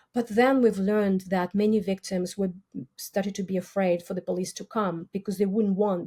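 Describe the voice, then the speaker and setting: Speaking at a fairly quick pace with a Russian accent, a woman has a medium pitch and a dark, mellow tone that is somewhat breathy. The recording is very clean, with a silent background. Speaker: criminology professor. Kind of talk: interview. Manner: halting.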